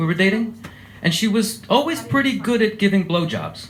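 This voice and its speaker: A man speaks with an American accent. Room echo is audible in the recording. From USA. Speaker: comedian. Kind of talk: stand-up. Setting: stage with audience.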